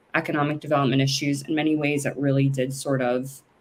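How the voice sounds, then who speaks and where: A woman talks in a very deep, low pitch with an American accent. Her pace is moderate. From US West Coast, San Francisco Bay Area. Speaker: lawyer and cannabis business founder. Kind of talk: interview.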